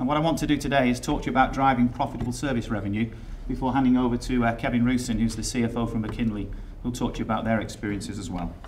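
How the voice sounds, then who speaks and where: The speaker has an English accent and fairly even intonation, going at a very fast pace. Audible room echo fills the recording. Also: man, medium pitch for a man. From England. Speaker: software company executive. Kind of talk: conference presentation. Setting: stage with audience.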